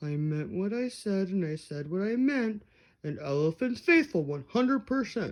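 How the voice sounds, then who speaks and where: A woman's put-on character voice at medium pitch and a moderate pace, over a quiet background. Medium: read story. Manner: earnest, steadfast.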